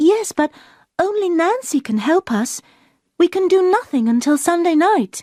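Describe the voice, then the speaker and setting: Using a put-on character voice that is squeaky and extremely high, a woman talks at a moderate pace with very wide pitch swings in a dry, close sound with no echo. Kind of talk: graded-reader story narration. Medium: read story.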